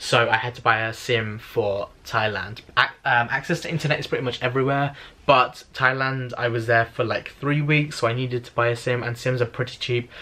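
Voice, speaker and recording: A man's medium-pitched voice with a British accent, bright and sharp in tone, at a fairly quick pace with hardly any pauses and fairly even intonation. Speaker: travel vlogger. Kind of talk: casual vlog tutorial. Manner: casual, filler-heavy; fast.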